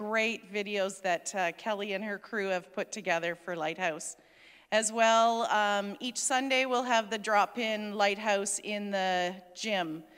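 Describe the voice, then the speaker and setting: In a quiet setting, a woman talks at a fairly slow pace. Her pitch varies in an ordinary way. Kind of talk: church announcements. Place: church. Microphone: handheld.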